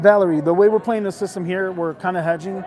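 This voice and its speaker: Fairly even intonation from a man, with noticeable background noise. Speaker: casino gaming streamer. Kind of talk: live casual commentary while gambling. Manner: fast.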